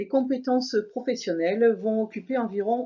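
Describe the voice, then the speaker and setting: A woman speaks very slowly in a Toulouse accent. Her voice is somewhat breathy. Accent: southern French (Toulouse). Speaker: university lecturer. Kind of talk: program presentation. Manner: formal.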